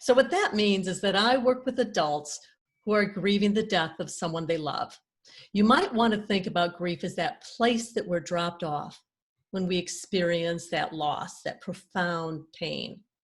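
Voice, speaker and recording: A woman talks fairly slowly at a medium pitch, her voice somewhat breathy and her pitch varying in an ordinary way. The recording is very clean, with a silent background. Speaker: grief coach. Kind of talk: podcast-style introduction.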